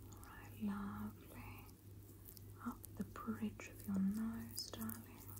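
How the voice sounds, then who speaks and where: Noticeable background noise is present in this clip. A woman talks very slowly over it. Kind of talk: soft-spoken roleplay narration. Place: home room. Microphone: phone near.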